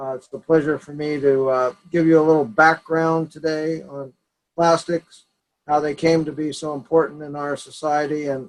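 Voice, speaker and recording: A man speaks in a monotone at a fairly high pitch, his intonation flat while his loudness swings widely. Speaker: oceanographer and researcher. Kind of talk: lecture. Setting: video call. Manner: slow, deliberate; halting, many fillers.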